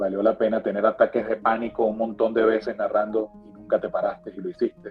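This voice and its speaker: With music in the background, a man speaks at a fairly quick pace and a fairly low pitch. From Venezuela. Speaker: sports broadcaster. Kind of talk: motivational reflection.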